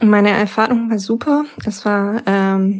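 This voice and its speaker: A woman is speaking. Her pace is very slow. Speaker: business school alumna, consultant. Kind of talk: interview.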